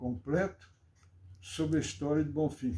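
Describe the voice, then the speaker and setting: A man's somewhat breathy voice has a fairly high pitch and a dark, mellow tone. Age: 80s+. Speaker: local historian. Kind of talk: interview.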